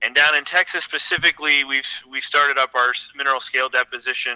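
An unremarkable speaking voice from a man at a medium pitch and a fairly quick pace. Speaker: energy company president. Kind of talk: business interview.

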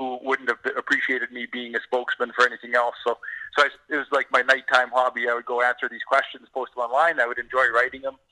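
In a Canadian accent, a man talks very fast at a medium pitch with a bright, sharp tone and a dry, close sound with no echo. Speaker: author and energy writer. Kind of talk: casual interview. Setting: phone call.

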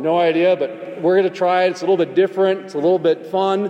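A man talks very fast in a high pitch, with noticeable background noise around him. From North Dakota. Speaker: podcast host. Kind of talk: panel discussion.

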